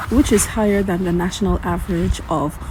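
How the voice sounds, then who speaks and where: A woman talks at a moderate pace. Noticeable background noise accompanies her. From Caribbean. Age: 50s. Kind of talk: informational narration with statistics.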